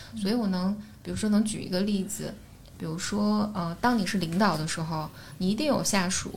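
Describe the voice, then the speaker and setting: A woman talks at a fairly quick pace with a medium pitch and ordinary pitch variation. Vocal fry shows up in her voice, and audible room echo surrounds it. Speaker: podcaster and psychology platform founder. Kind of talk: casual chat. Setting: studio.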